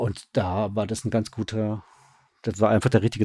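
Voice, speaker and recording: Dry and close with no echo, a man's dark, mellow voice moves at a fairly quick pace. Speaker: radio drama director. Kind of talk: casual interview. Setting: online call.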